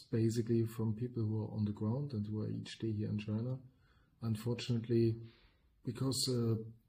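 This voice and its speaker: A man with a German accent speaks at a fairly quick pace and a medium pitch in a dark, mellow tone. His voice is somewhat breathy, his intonation monotone and flat. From Germany. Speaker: podcast co-host, business consultant. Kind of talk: podcast discussion.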